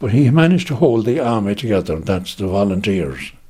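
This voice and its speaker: Somewhat breathy and dark, mellow in tone, a man with a Munster accent talks at a fairly quick pace, his pitch swinging very widely. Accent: Irish, Munster. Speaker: relative recalling family history. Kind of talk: oral history interview. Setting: interviewee's home.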